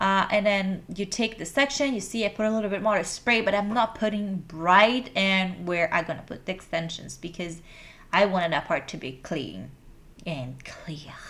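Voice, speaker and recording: A woman talks at a moderate pace with a Brazilian Portuguese accent. Her pitch is medium, with ordinary pitch variation. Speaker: hair extension stylist. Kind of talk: tutorial.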